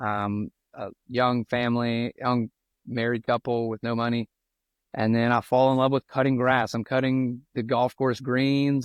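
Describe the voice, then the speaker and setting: Speaking with a strong South Louisiana accent, a man talks at a moderate pace and a medium pitch in a monotone, with flat intonation. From South Louisiana (Cut Off). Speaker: golf professional and entrepreneur, former pastor. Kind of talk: podcast interview, personal story.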